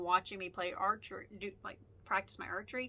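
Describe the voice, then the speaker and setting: At a fairly quick pace, a woman talks in a bright, sharp tone. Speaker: podcast host. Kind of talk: casual monologue. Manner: fast; animated.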